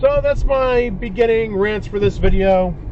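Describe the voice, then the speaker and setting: Loud and lively, a man at a high pitch speaks with audible room echo and noticeable background noise. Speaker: dashcam video creator. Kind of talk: casual commentary monologue.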